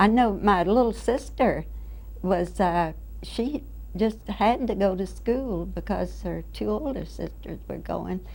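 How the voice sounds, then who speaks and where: Recorded with audible room echo, a woman with an American accent talks at a very slow pace. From Florida, Brevard County. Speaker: oral history interviewee. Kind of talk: oral history interview.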